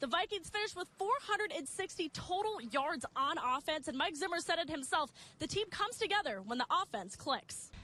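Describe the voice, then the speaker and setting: Using a raised, projected voice, a woman with an extremely high pitch speaks at a fairly quick pace with lively intonation. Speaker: sports anchor and reporter. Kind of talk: sports news anchoring and reporter stand-ups.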